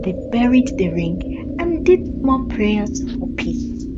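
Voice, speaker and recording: Amid loud background noise, a female-sounding put-on character voice speaks at a very slow pace in a high pitch. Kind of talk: spooky folktale narration. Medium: read story. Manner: slow, suspenseful.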